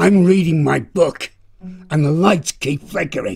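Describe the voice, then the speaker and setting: Ordinary pitch variation and a moderate pace in a man's fairly high-pitched voice. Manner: suspicious, grumbling.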